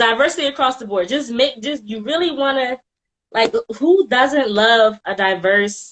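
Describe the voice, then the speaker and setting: With a Philadelphia accent, a woman speaks at a high pitch, her intonation lively and her loudness swinging widely. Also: moderate pace. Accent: Philadelphia city. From Philadelphia, US. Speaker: author. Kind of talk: casual panel chat on livestream.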